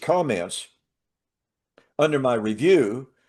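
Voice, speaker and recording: Very slow speech from a man at medium pitch, with very wide pitch swings. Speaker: Bible teaching co-host. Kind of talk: casual chat.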